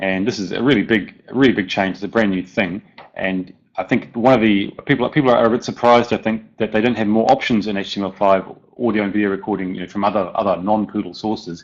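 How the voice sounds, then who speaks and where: Someone speaks at a very fast pace with a New Zealand accent. The intonation stays fairly even. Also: man, fairly low pitch for a man. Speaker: software plugin developer. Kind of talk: conference presentation.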